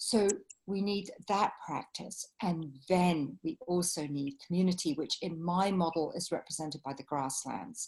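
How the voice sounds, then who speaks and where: A woman speaks in a London accent with a somewhat breathy voice. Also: fairly low pitch for a woman, ordinary pitch variation, fairly slow pace. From England, London. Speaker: writer and facilitator. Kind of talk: interview.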